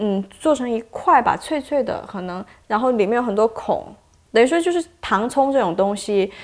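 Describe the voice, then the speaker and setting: Her voice fairly high and her intonation lively, a woman speaks at a moderate pace. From Shantou, Guangdong (Chaoshan region). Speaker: video producer at the media company. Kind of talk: casual interview chat. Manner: hesitant, many fillers and repetitions.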